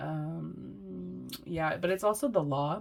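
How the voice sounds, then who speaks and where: The woman has a very deep, low pitch. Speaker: tarot reader. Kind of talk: tarot reading. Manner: casual, giggly.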